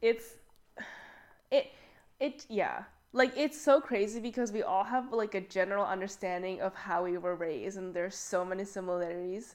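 A woman's unremarkable speaking voice in a Canadian accent, medium in pitch with ordinary pitch variation, at a moderate pace. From Canada, child of Chinese immigrants. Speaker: podcast co-host. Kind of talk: casual chat.

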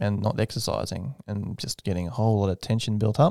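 A man with an Australian accent, fairly low in pitch, with a dark, mellow tone and fairly even intonation, in a very clean recording with a silent background and a dry, close sound with no echo. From Australia, Redcliffe, north Brisbane. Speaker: aerospace engineer. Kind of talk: casual interview.

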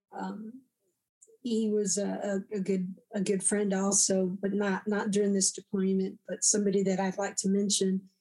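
A woman with a Texan accent, at a moderate pace, in a monotone, flat delivery. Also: medium pitch for a woman. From Texas. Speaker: combat veteran. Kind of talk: interview. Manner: halting.

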